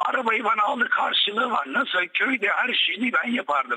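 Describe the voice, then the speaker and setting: A man talks at a fairly slow pace. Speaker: caller, son of the guest. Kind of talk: heated phone-in argument. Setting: phone call. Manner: agitated.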